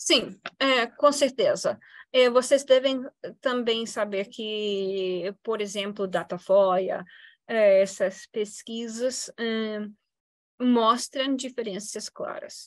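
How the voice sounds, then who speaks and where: A woman's very slow speech in an English accent, fairly high in pitch with ordinary pitch variation, over a quiet background. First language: English (speaking Portuguese). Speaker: political science professor. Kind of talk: Q&A answer; lecture. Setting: university event with audience. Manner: halting, many fillers.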